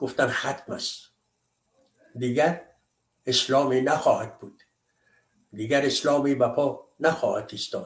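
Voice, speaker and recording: A man with an Afghan accent, fairly high-pitched and somewhat breathy, at a very slow pace with long, frequent pauses, fairly even intonation and big swings in loudness. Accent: Afghan Dari. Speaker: commentator. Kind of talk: monologue commentary. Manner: impassioned.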